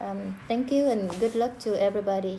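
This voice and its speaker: A woman's medium-pitched voice with audible room echo. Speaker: student. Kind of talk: class discussion recording. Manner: hesitant, many fillers.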